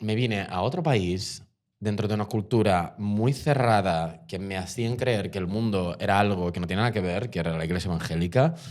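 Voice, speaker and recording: A man with a Portuguese accent speaks at a fairly low pitch and a moderate pace, with ordinary pitch variation. The recording is very clean, with a silent background. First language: Portuguese (speaking Spanish). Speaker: actor. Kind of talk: casual interview chat. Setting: bar. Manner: halting, repetitive.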